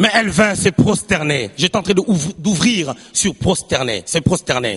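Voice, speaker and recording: Fairly slow, animated speech from a man, with noticeable background noise. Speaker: preacher. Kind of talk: sermon.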